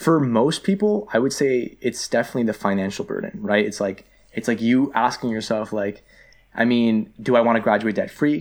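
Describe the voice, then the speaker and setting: Speaking with a Toronto accent, a man keeps a moderate pace at medium pitch with ordinary pitch variation. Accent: Canadian (Toronto). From Canada, Greater Toronto Area. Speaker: university student. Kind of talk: casual interview. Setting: studio.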